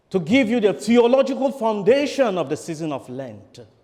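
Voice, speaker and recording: In a Nigerian accent, a man speaks at a moderate pace with very wide pitch swings against a quiet background. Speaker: priest. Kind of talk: sermon.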